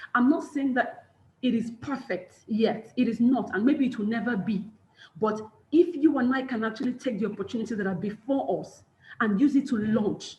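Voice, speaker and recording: An animated woman's voice, fairly high in pitch, with ordinary pitch variation. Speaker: personal branding coach and motivational speaker. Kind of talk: webinar talk. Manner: fast.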